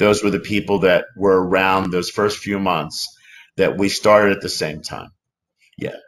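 In an American accent, a man with fairly low pitch speaks at a moderate pace in a flat monotone, leaving long, frequent pauses. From Philadelphia. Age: 50s. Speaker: actor; interview guest, actor. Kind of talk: interview. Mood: reflective, open. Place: home room.

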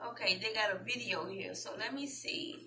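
With audible room echo, a woman of medium pitch speaks slowly in a Southern US accent, her tone bright and sharp and her pitch variation ordinary.

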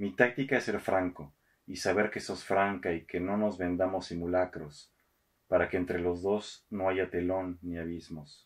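A man's very deep, low voice, fairly slow and fairly even in intonation, over a quiet background. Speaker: radio host and poetry reader. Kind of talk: poetry reading, read aloud in a theatrical actor's delivery. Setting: studio recording. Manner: measured, expressive, slow and intimate. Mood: calm, intimate.

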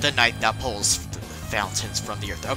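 Over loud music in the background, a man does a put-on character voice that sounds strained, at a very deep, low pitch and a moderate pace. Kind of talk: dramatic, archaic. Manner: menacing, theatrical, strained.

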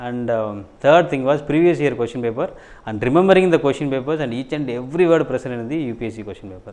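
A man talks at a very fast pace in a Tamil accent. His loudness swings a lot, while his pitch varies in an ordinary way. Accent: Tamil-accented Indian English. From Tamil Nadu, India (Thanjavur district village). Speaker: civil services exam topper. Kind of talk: interview testimony. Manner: halting. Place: office. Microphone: lapel.

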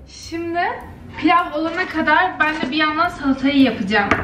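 A woman's raised, projected voice rings with audible room echo over light background noise. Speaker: vlogger. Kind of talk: casual vlog chat. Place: kitchen. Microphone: phone near.

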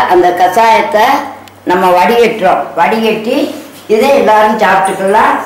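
A woman talks at a medium pitch with ordinary pitch variation. Audible room echo surrounds her voice. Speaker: home cook. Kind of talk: cooking tutorial talk. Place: kitchen. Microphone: camera far.

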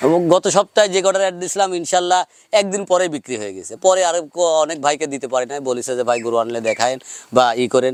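A man with an ordinary speaking voice talks at a fairly high pitch. His intonation is lively. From Bangladesh, Pabna district. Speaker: cattle farmer and calf seller. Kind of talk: on-farm sales pitch interview.

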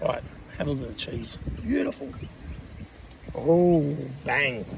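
A man talks at a fairly slow pace amid audible room echo and noticeable background noise. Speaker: vlogger. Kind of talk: casual chat.

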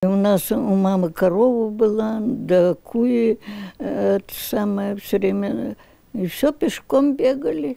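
The voice has a dark, mellow tone and lively intonation at a very slow pace. The sound is dry with no echo, and the background is quiet. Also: woman. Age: 80s+. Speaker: retired librarian. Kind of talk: interview answer. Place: home room. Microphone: handheld.

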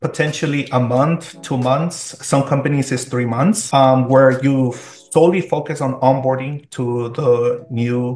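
Audible room echo surrounds a man's somewhat breathy voice as he speaks at a fairly slow pace with fairly even intonation. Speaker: remote guest. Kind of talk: interview answer. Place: home room. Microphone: video call.

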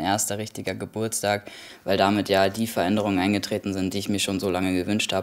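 A man speaks at a very fast clip. His pitch sits fairly low. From Kassel, Hesse, Germany. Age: 20s. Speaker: musician. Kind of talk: interview answer. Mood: calm, reflective, personal. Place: home room.

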